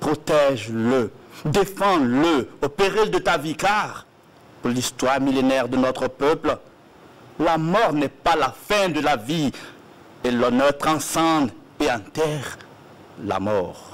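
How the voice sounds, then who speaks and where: A man's fairly high voice at a very slow pace, with lively intonation and long, frequent pauses. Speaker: poetry reader. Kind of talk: reading aloud. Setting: TV studio. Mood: solemn, declamatory. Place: studio.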